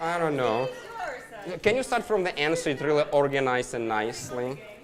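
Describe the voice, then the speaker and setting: An animated man with a fairly high voice and a non-native accent at a moderate pace, with audible room echo and crowd noise in the background. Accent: non-native accent, noticeable. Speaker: biology professor. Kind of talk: public science talk. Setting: bar with live audience. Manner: animated, interactive.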